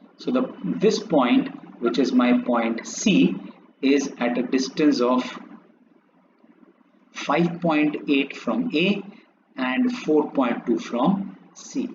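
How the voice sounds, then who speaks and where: Over noticeable background noise, a man talks at a very slow pace and a fairly high pitch, with very wide pitch swings and long, frequent pauses. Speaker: maths teacher. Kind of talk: tutorial. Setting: drawing on a laptop.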